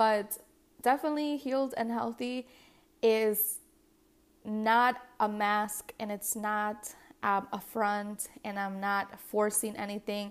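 Very slow and fairly high-pitched, a woman with a non-native accent speaks with fairly even intonation in a very clean recording against a silent background. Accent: non-native English noted by herself. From US Midwest, west suburbs of Chicago, Mexican-American family. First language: Spanish. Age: 20s. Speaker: podcast host. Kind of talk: solo podcast monologue.

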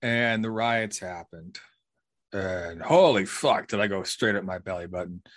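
Against a quiet background, a man in an unremarkable speaking voice talks at a moderate pace and a fairly low pitch with ordinary pitch variation. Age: 30s. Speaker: podcast host. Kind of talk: casual chat.

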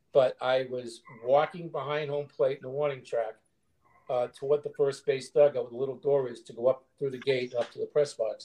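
A man's fairly high, somewhat breathy voice with a dark, mellow tone, monotone and flat in intonation, big swings in loudness, a moderate pace and an American accent. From Boston (Cambridge), Massachusetts. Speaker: sports writer. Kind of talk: casual chat.

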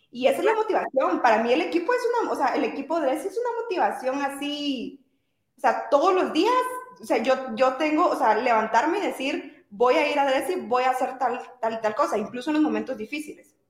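A woman talks with a Guatemalan accent at a high pitch. Her intonation is lively and her pace fairly quick. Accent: Guatemalan Spanish with voseo. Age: 20s. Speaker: entrepreneur. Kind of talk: interview. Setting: live stream.

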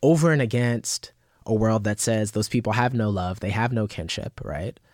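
A man with a plain, everyday voice and fairly low pitch at a moderate pace, on a very clean recording with a silent background and a dry, close sound with no echo. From New York (Bronx, South Yonkers). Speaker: poet and literary scholar. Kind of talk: interview.

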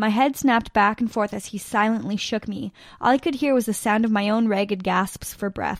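This is a natural reading voice. The text is read aloud in that manner.

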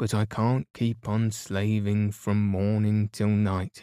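The passage is read aloud in a natural voice.

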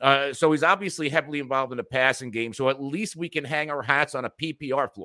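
A man with an American accent talks at a very fast pace, his pitch fairly high and his pitch variation ordinary. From New Jersey. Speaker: fantasy football guest analyst.

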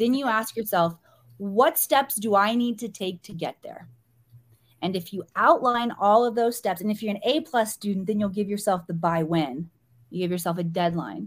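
A woman with an American accent uses an ordinary speaking voice, lively intonation and a moderate pace. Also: medium pitch for a woman. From US Midwest, small-town Missouri. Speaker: spiritual teacher. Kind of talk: podcast interview.

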